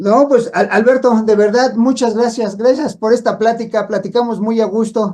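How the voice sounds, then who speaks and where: This man's voice sits high with a dark, mellow tone and fairly even intonation. He keeps a moderate pace with hardly any pauses. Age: 60s. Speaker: radio host. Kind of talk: radio interview.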